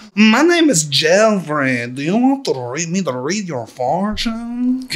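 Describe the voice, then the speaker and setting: This is a put-on character voice at a middle pitch, with very wide pitch swings. It moves at a fairly slow pace. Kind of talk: put-on inside-joke voice. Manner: theatrical, haughty.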